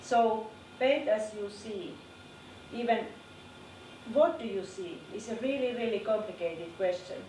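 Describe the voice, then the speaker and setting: With a non-native accent, a woman talks at a fairly high pitch and a fairly slow pace, with lively intonation, big swings in loudness, long, frequent pauses, audible room echo and noticeable background noise. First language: not English. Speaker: art teacher. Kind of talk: lecture. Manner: halting.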